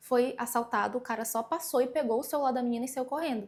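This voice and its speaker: Speaking at a fairly quick pace, a woman uses an animated tone with ordinary pitch variation and a fairly high pitch. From Pará, northern Brazil. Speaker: travel vlogger. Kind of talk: casual travel tips vlog. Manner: conversational, animated.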